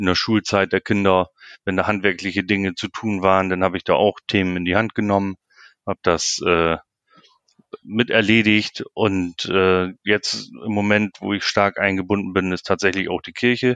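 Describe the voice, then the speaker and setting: A man speaks at a moderate pace with a fairly low pitch and monotone, flat intonation, in a dry, close sound with no echo. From northern Germany, Lower Saxony. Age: 40s. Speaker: sports club chairman. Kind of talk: interview. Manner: hesitant, many filler sounds.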